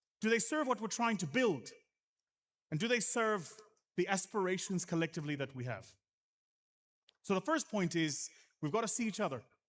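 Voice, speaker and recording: Speaking with a South African accent, the voice is animated, with very wide pitch swings and a fairly quick pace broken by long, frequent pauses. The recording is very clean, with a silent background. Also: man, high pitch for a man. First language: isiZulu. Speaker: venture capital investor, conference speaker. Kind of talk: conference keynote speech.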